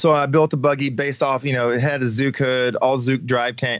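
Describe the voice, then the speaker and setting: A man with a fairly high-pitched, ordinary speaking voice and an American accent, talking at a fairly quick pace against a quiet background. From Missouri. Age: 40s. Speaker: off-road racer and military veteran. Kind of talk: casual interview.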